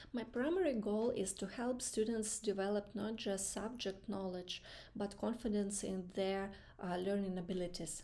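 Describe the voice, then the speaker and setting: A woman with a non-native accent speaks at a moderate pace. Her tone is dark and mellow. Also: medium pitch for a woman, fairly even intonation. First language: not English. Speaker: student practicing job interview answers. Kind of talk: mock interview answers. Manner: halting, many fillers.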